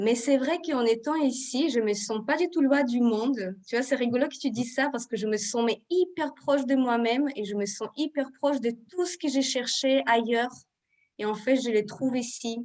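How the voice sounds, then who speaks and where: With a non-native accent, a woman speaks at a moderate pace in a high pitch with ordinary pitch variation. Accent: foreign accent, clearly audible. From Israel. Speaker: Ayurveda therapist and trainer. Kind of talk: live video interview.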